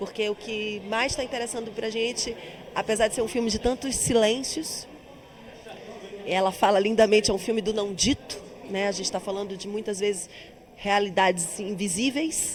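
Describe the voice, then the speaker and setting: A woman with a strong Bahian accent, fairly high in pitch with fairly even intonation, at a moderate pace with long, frequent pauses, over noticeable background noise. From Bahia, Brazil. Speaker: actress and singer. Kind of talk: interview.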